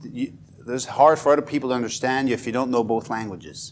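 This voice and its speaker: A man with a Swiss accent speaks at a medium pitch. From Switzerland, Fribourg (bilingual German/French). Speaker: education professor. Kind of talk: workshop lecture.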